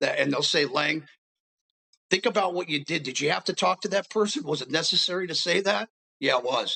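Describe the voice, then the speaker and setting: With an American accent, a man talks with vocal fry and ordinary pitch variation. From US West Coast, Los Angeles. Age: 60s. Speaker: homeless advocate in addiction recovery. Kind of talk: interview testimony. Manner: repeats words, halting.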